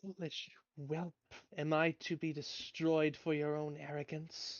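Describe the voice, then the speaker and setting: A hissing put-on character voice at middle pitch moves along at a fairly slow pace. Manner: angry, menacing.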